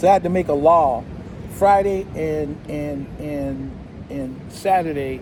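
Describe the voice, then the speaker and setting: A man with an American accent speaks at a very slow pace. Noticeable background noise and audible room echo surround his voice. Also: big swings in loudness. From California. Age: 70s. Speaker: expat club member. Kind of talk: casual chat. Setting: outdoor cafe by the beach.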